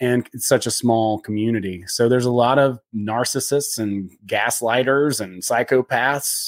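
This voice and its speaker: This man has an unremarkable speaking voice, medium in pitch with fairly even intonation. The recording is very clean, with a silent background. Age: 40s. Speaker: former adventure guide, comedian. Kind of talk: casual interview chat.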